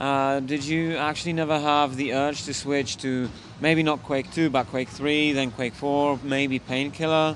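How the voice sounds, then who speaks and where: Speaking in a normal speaking voice, a man talks at a fairly slow pace with a fairly high pitch and ordinary pitch variation. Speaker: esports interviewer. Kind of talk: casual interview. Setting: gaming event.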